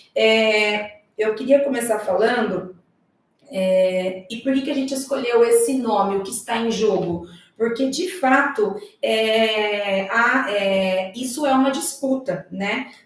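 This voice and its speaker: At a very slow pace, a woman with a fairly high pitch talks with ordinary pitch variation in a room with audible echo. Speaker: social worker. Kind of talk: panel talk. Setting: live stream.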